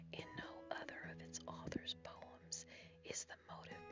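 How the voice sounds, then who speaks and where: The speaker whispers at a fairly slow pace. Music plays in the background. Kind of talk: ASMR reading of literary essay. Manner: whispered.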